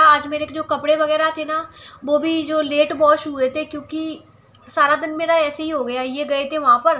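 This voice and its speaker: A woman's high, raised and projected voice at a fairly slow pace, with noticeable background noise. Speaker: vlogger. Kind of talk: casual vlog chat.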